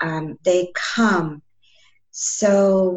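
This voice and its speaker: Somewhat breathy and calm in tone, a woman speaks with lively intonation. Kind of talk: casual interview.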